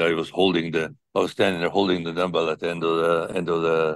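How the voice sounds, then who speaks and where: Over a quiet background, a man's voice comes through dry and close, with no echo. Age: 70s. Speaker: strength athlete. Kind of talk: interview. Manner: halting.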